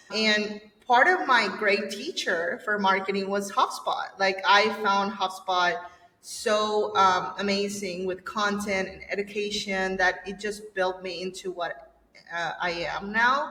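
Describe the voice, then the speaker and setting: A woman with a Spanish accent speaks at a medium pitch and a very slow pace, with fairly even intonation and noticeable background noise. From El Salvador. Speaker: agency owner. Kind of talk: podcast interview. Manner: halting.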